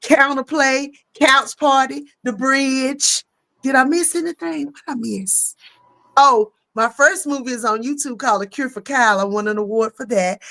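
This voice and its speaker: A woman speaks in a high voice with a Southern accent and ordinary pitch variation, recorded dry and close with no echo. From US South. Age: 50s. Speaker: comedian and actress. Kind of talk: casual chat. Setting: live stream.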